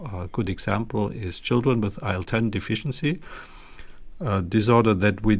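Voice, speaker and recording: A man speaks with a German accent. His voice is somewhat breathy and fairly low in pitch. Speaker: pediatric gastroenterology professor. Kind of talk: interview. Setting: video call. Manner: hesitant, many fillers.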